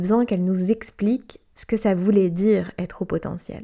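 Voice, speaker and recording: Her tone dark and mellow, a woman speaks with ordinary pitch variation. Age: 30s. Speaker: blogger and life coach. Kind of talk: personal testimony.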